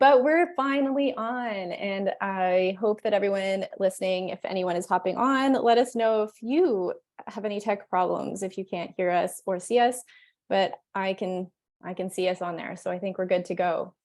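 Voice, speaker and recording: At a moderate pace, a woman of medium pitch talks in a normal speaking voice with ordinary pitch variation. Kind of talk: interviewer, casual video call.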